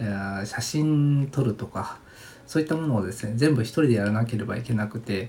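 Somewhat breathy and dark, mellow in tone, a man's medium-pitched voice moves with ordinary pitch variation. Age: 40s. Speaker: design company owner, podcast host. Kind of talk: solo podcast monologue, self-introduction. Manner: relaxed, laid-back; polite, with many filler words.

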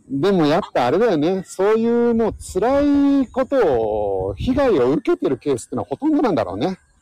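The voice moves at a moderate pace with very wide pitch swings. There are hardly any pauses. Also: man, high pitch for a man. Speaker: science podcast host. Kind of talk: casual chat.

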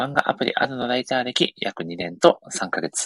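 Over a quiet background, a man speaks with vocal fry and very wide pitch swings, the sound dry and close with no echo. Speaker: podcast host. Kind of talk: casual chat. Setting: online live audio stream with earphones.

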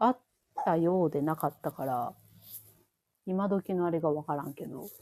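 A woman speaks with a Kansai accent. Her voice has a dark, mellow tone and a fairly low pitch. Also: dry, close sound with no echo, very clean recording, silent background. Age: 30s. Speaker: podcast co-host. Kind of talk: casual chat.

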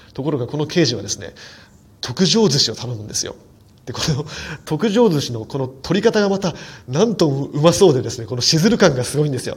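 A man's fairly high, somewhat breathy voice at a fairly quick pace, with very wide pitch swings and big swings in loudness. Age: 40s. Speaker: film critic podcaster. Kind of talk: solo film review monologue. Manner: fast run-on narration; frequent fillers.

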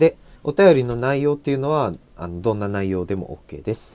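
A man with a normal speaking voice talks at a moderate pace with lively intonation. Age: 20s. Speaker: podcaster. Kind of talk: solo casual talk.

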